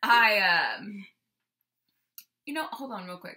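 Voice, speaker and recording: A woman talks at a fairly slow pace. Her high-pitched voice has a bright, sharp tone. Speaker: vlogger sharing weight loss surgery experience. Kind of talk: casual chat. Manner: loud; animated.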